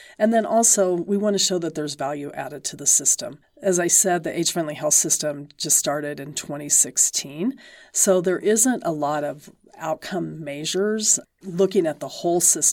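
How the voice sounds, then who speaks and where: Speaking at a moderate pace, a woman uses a normal speaking voice with a fairly low pitch. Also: ordinary pitch variation. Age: 60s. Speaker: professor. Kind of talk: interview.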